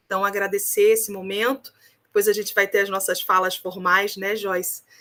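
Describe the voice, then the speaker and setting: Her tone is bright and sharp, set at a medium pitch. The woman speaks with a Rio de Janeiro accent and fairly even intonation. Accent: Carioca (Rio de Janeiro) accent, still strong. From Rio de Janeiro, Brazil. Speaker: research ethics committee coordinator. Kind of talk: opening remarks at online academic event. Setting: video call.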